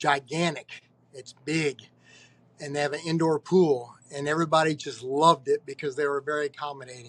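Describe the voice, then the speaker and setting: A man's fairly high voice with an American accent, an ordinary speaking voice, fairly even intonation and a fairly quick pace, in dry, close sound with no echo. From Cincinnati, Ohio. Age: 60s. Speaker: roller rink owner. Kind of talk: podcast interview. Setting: at his skating rink.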